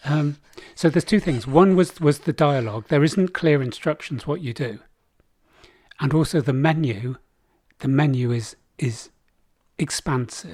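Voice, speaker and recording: A man's fairly high voice, somewhat breathy, at a moderate pace with ordinary pitch variation and long, frequent pauses. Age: 60s. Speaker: podcast co-host. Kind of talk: casual chat.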